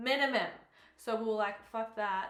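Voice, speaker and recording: A woman with an Australian accent speaks at a moderate pace and medium pitch, with audible echo in the room. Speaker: fitness coach and bikini competitor vlogger. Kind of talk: vlog voiceover. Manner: casual, chatty.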